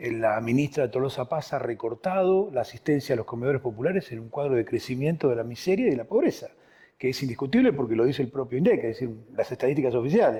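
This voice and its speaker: Over a quiet background, a man talks at a very fast pace in a dark, mellow, somewhat breathy tone, with medium pitch and ordinary pitch variation. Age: 60s. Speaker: political party leader. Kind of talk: political interview.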